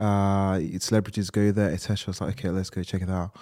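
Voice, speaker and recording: A man speaks with a fairly low pitch. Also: very clean recording, silent background. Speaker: podcast co-host. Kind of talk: casual chat.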